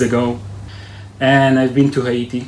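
A man with an Israeli accent speaks at a very slow pace in a monotone, flat intonation, with audible room echo and noticeable background noise. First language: Hebrew. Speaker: army search and rescue commander. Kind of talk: interview. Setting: military base headquarters.

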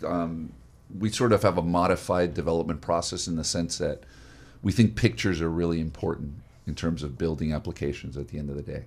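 Vocal fry runs through this man's very deep, low voice. He speaks at a fairly quick pace. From South Florida. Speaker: radio host and tech entrepreneur. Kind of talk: radio interview.

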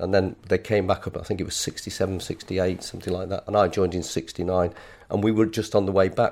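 Speaking very fast with fairly even intonation, a man with a Lancashire accent comes through on a very clean recording with a silent background. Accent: northern English (Lancashire). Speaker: retired footballer. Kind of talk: casual interview.

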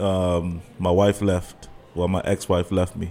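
A man's low-pitched voice with a dark, mellow tone and little pitch movement.

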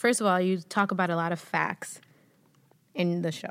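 Her medium-pitched voice keeps a moderate pace as the woman talks. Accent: Spanish. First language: Spanish. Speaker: podcast host and actress. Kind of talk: casual interview chat.

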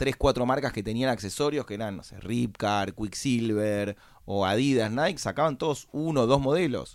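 On a very clean recording with a silent background, a man of medium pitch speaks at a fairly slow pace with lively intonation. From Argentina, Buenos Aires. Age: 30s. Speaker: entrepreneur. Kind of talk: interview.

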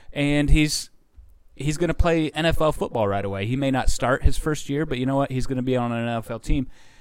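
A man with an American accent, medium pitch, ordinary pitch variation, and an unremarkable speaking voice. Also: fairly quick pace. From Indiana. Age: 30s. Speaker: TV news reporter. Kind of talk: casual chat. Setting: studio.

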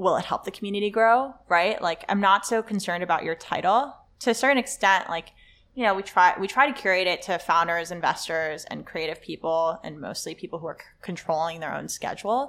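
A woman with an American accent speaks at a fairly quick pace in a plain, everyday voice, her medium pitch showing ordinary pitch variation. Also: very clean recording, silent background. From Los Angeles, US. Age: 20s. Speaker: startup co-founder and CEO. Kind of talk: casual interview conversation.

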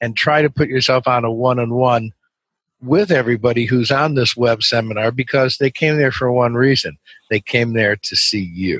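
An unremarkable speaking voice, a man's medium pitch and ordinary pitch variation come at a moderate pace with a dry, close sound and no echo. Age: 60s. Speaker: webinar sales trainer. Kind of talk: interview.

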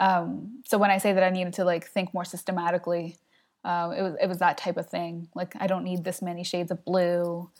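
A woman with an American accent and an unremarkable speaking voice, medium in pitch, at a moderate pace, on a very clean recording with a silent background. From South Jersey, US. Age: 20s. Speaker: web designer. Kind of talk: casual interview.

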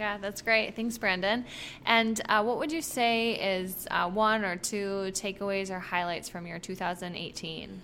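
In an unremarkable speaking voice, a woman talks at a fairly slow pace with medium pitch and ordinary pitch variation. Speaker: podcast host at a fitness gym. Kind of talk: casual interviews. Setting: gym strength studio.

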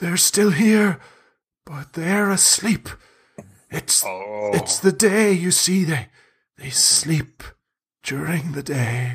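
In a put-on character voice at middle pitch, the speaker talks at a very slow pace with long, frequent pauses. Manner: hushed, conspiratorial.

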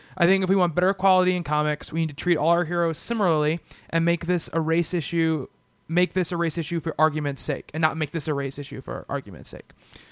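Delivered loud and at a very fast pace with fairly even intonation, the speech comes through a very clean recording with a silent background and a dry, close sound with no echo. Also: man, high pitch for a man. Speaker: comic book podcast host. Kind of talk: casual chat. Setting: studio.

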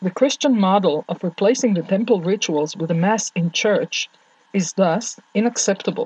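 Speaking at a moderate pace with an Israeli accent, a woman's somewhat breathy voice sits at a medium pitch with ordinary pitch variation, in a dry, close sound with no echo. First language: Hebrew. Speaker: Torah teacher. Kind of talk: lecture. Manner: formal.

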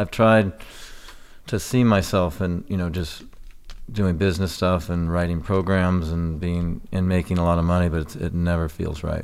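With an American accent, a man speaks at a moderate pace in a very deep, low pitch and fairly even intonation. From California, Santa Barbara. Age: 50s. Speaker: fitness trainer and ultra athlete. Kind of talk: interview conversation. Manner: halting, many fillers.

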